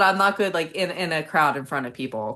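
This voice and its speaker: A woman talks at a very fast pace. Vocal fry runs through her voice. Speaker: author. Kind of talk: casual chat. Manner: halting.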